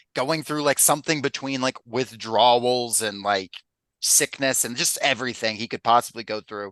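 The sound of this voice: Reading happens in an effortless voice with typical pitch movement. There is silence around it.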